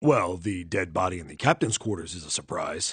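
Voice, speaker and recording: A man puts on a raspy character voice at a very deep, low pitch, with lively intonation, big swings in loudness and a fairly quick pace, over a quiet background. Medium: fan dub. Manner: blunt, plain-spoken.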